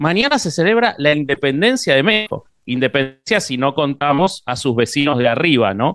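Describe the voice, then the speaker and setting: In an ordinary speaking voice, a man with a fairly high pitch talks at a moderate pace with lively intonation and hardly any pauses. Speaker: interviewer. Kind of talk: casual chat.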